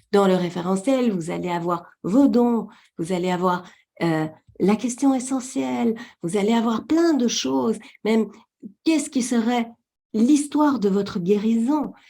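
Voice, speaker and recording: Speaking very slowly with a Belgian accent, a woman uses a fairly high voice with a dark, mellow tone and lively intonation. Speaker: webinar presenter. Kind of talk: webinar presentation.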